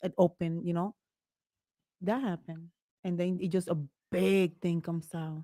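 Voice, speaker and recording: With a Spanish accent, a woman speaks at a moderate pace in a fairly low pitch, her intonation fairly even and her speech broken by long, frequent pauses, all in a dry, close sound with no echo. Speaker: podcast co-host. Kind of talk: casual chat. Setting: live stream.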